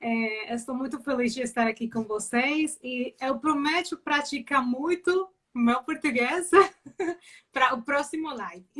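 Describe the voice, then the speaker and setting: A woman with a high voice and ordinary pitch variation talks at a fairly slow pace. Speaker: criminal lawyer. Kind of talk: interview. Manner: hesitant in Portuguese.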